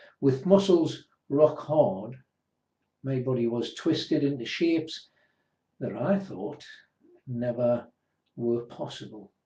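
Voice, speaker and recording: At a very slow pace with long, frequent pauses, a man speaks in a fairly high pitch with a dark, mellow, somewhat breathy tone and lively intonation. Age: 60s. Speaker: person with a rare disease sharing their story. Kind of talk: personal testimony.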